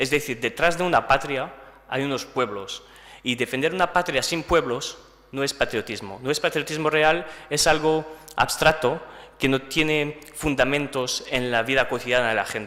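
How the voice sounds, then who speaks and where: A man with a French accent talks at a moderate pace in a fairly high pitch, with ordinary pitch variation. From France. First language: French (speaking Spanish). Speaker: political speaker. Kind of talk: lecture. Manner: halting.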